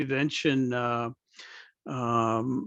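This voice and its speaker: Against a quiet background, a man with a Canadian accent sounds dry and close with no echo. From Akwesasne Mohawk Nation. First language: Mohawk speaker. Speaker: First Nation band executive director. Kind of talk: informal mentorship presentation. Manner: conversational, with hesitations.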